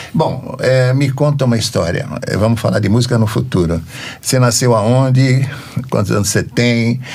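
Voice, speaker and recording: Against noticeable background noise and audible room echo, a man at a medium pitch speaks at a moderate pace with ordinary pitch variation and very even loudness. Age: 80s+. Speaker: podcast host. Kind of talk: casual interview.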